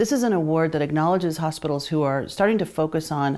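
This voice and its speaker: A woman's dark, mellow voice, fairly low in pitch, at a very fast pace with ordinary pitch variation. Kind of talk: interview answer.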